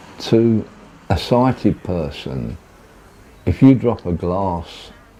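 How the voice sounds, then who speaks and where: A man's fairly low voice makes very wide pitch swings. Noticeable background noise runs behind him. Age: 70s. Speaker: blind man telling his story. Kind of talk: personal testimony.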